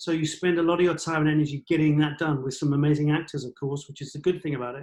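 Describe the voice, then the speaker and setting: A man with an English accent talks at a very fast pace and a fairly high pitch. His intonation is monotone and flat. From England. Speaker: cinematographer. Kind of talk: interview answer. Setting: online call.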